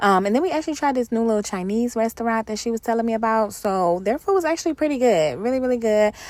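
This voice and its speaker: Over noticeable background noise, a fairly high-pitched woman talks at a very fast pace with lively intonation and hardly any pauses. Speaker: lifestyle vlogger. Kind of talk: vlog narration. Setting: parking structure. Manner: casual, chatty.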